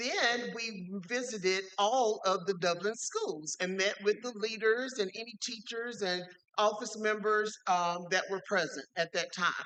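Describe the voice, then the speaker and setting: A loud woman's voice, fairly high in pitch with ordinary pitch variation, at a fairly slow pace with hardly any pauses. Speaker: state education official, witness. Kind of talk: hearing testimony.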